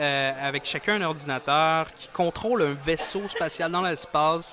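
A man with a Quebec accent speaks at a fairly slow pace and fairly high pitch. His pitch variation is ordinary, and noticeable background noise is present. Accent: Québécois French. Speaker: event organizer. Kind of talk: interview. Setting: gaming bar terrace.

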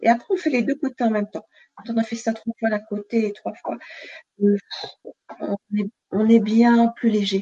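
A woman speaks in a calm, soothing tone that is somewhat breathy, at a fairly slow pace with fairly even intonation and long, frequent pauses. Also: fairly high pitch for a woman. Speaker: nurse and sophrologist. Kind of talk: guided relaxation session; interview. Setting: live video stream.

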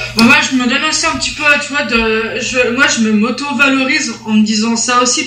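With noticeable background noise and audible room echo, a woman speaks at a moderate pace in a high voice with fairly even intonation. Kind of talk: casual chat.

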